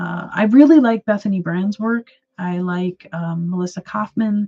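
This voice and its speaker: Somewhat breathy, with a dark, mellow tone and an American accent, the voice shows ordinary pitch variation in a dry, close sound with no echo. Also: woman. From Wisconsin, US. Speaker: artist and mental health livestreamer. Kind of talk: casual livestream chat with viewers. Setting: livestream. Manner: hesitant, many fillers and repeats.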